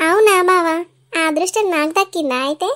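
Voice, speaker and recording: A squeaky, cartoonish character voice that sounds female speaks at a moderate pace with an extremely high pitch. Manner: sweet, bashful.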